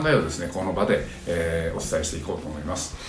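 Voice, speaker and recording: Words come at a very fast pace, with audible room echo and faint music in the background. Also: man. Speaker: commentator. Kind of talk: commentary. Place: home room. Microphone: phone near.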